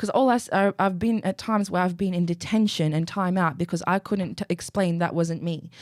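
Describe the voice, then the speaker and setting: Talking at a fairly quick pace with hardly any pauses, a woman with an Australian accent keeps a medium pitch and very even loudness, on a very clean recording with a silent background and a dry, close sound with no echo. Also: ordinary pitch variation. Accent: Aussie tone. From Iraqi family, raised in Australia. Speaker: model, poet and activist. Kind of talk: casual chat.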